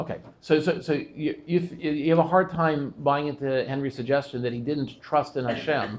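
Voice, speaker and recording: With an ordinary speaking voice, a man talks at a fairly high pitch and a moderate pace, his intonation fairly even and hardly any pauses between words. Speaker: rabbi giving a class. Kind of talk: Torah class discussion with audience questions.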